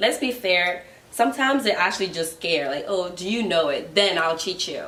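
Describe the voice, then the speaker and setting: A woman speaks with a Ghanaian accent. Noticeable background noise and audible room echo fill the recording. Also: medium pitch for a woman, lively intonation, moderate pace. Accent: Ghanaian accent picked up from trip. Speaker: guest friend. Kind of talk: casual chat.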